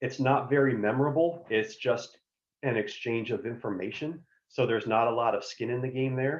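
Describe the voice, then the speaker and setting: His pitch sits in the middle range, and this man's voice rises and falls by a normal amount. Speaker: career advisor. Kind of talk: workshop presentation. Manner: fast.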